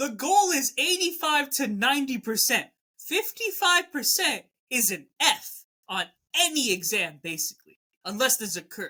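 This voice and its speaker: A woman's high, bright, sharp voice, raised and projected, with very wide pitch swings at a moderate pace. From immigrant, not native English speaker. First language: not English. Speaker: podcast co-host. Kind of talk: casual chat.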